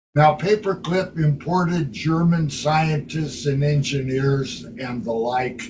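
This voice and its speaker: The man's pitch sits fairly high, with ordinary variation. He talks at a very slow pace. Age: 80s+. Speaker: citizens' assembly leader. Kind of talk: meeting talk. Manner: vehement.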